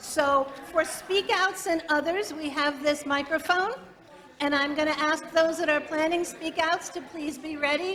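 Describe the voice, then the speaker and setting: A loud woman's voice at extremely high pitch, fairly slow and fairly even in intonation, with noticeable background noise and audible room echo. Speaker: meeting moderator. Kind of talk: meeting announcements. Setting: church meeting with live stream.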